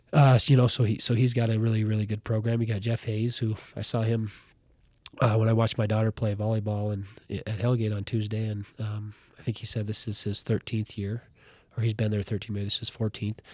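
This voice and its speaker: A man speaks very fast in an American accent. His voice is somewhat breathy, and his intonation is monotone and flat. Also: fairly low pitch for a man. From Montana (Ronan). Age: 40s. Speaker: high school basketball coach. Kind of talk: casual interview. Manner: halting, many fillers and repeats.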